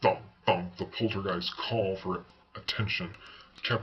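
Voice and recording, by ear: Someone reads a text aloud. The delivery sounds natural.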